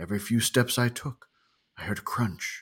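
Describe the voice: A guttural, put-on character voice comes at a moderate pace in a very clean recording with a silent background. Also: man.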